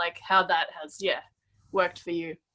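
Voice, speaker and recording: A woman with an Australian accent speaks at a fairly low pitch in a monotone, flat intonation. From Melbourne, Australia. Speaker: podcast host. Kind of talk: casual chat. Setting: video call.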